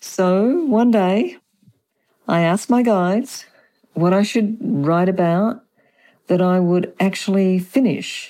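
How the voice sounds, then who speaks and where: Speaking at a very slow pace with long, frequent pauses, a woman uses a dark, mellow tone and lively intonation in a very clean recording with a silent background. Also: medium pitch for a woman. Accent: strong Australian. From Australia. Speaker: author and feng shui consultant. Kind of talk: interview about spirituality.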